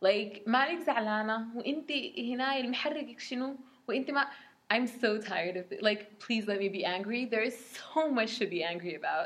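A woman at a moderate pace, fairly high in pitch. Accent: Arabic. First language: Arabic. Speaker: podcast co-host. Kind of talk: casual chat with code-switching.

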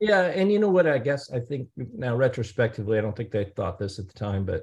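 A man with an American accent sounds somewhat breathy. The background is quiet. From US Midwest, St. Louis, Missouri. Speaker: emergency physician. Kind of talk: interview.

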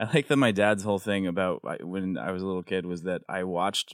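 A man with an American accent speaks in a very deep, low pitch and fairly even intonation, with hardly any pauses. The recording is very clean, with a silent background. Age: 30s. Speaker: comedian and TV writer. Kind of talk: casual chat. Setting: studio.

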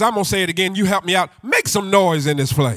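A man's raised, projected voice, high in pitch, with an animated, warm tone that is also bright and sharp. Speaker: visiting preacher. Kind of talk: sermon, call-and-response preaching to a live congregation. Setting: church with congregation. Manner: animated, exhorting the crowd for loud amens; joking, warm and rhythmic with crowd interaction.

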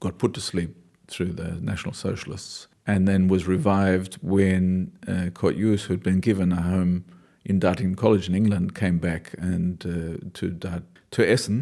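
Speaking at a moderate pace, a man's very deep, low voice has a dark, mellow tone and fairly even intonation. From Australia, Newcastle NSW. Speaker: dancer and choreographer. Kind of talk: interview. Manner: halting.

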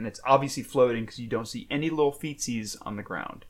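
A man speaks in an animated tone. His pitch varies in an ordinary way. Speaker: podcast co-host. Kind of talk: casual chat. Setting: home couch recording. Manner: joking, animated.

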